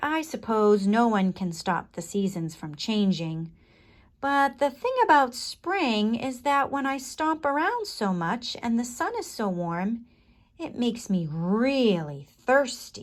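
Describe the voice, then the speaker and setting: A put-on character voice, female-sounding, rumbles along at a fairly slow pace with a fairly high pitch. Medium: read story. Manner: grumbling, complaining.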